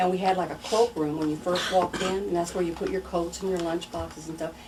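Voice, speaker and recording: Very fast speech in a Missouri accent, fairly even intonation, over noticeable background noise. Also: woman, fairly low pitch for a woman. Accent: Midwestern American, Missouri. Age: 60s. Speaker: local resident sharing memories. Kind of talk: oral history interview.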